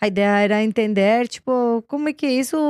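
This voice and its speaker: The speaker has a Colombian accent and a moderate pace. The sound is dry and close, with no echo. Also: woman. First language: Spanish (speaking Portuguese). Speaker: business executive. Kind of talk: interview. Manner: hesitant, with fillers and repetitions.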